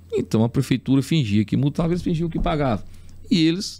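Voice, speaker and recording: Man with a dark, mellow tone and vocal fry, very wide pitch swings, at a fairly quick pace. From Teresina, Piauí, Brazil. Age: 40s. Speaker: city councillor. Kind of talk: podcast interview.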